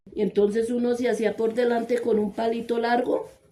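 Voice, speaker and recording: Music sounds in the background. Over it, a woman talks with a fairly high pitch. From Colombia, Cundinamarca (rural, Ubaque). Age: 70s. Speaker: interviewee recounting her life. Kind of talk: life story interview. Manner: halting, with many hesitations and repeated words.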